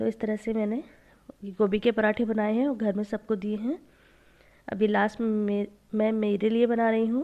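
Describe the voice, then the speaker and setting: Against a quiet background, a woman speaks at a fairly slow pace with a fairly high pitch and monotone, flat intonation. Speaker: home vlogger. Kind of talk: vlog narration.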